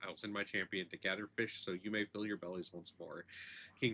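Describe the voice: This is plain reading aloud, its intonation fairly even.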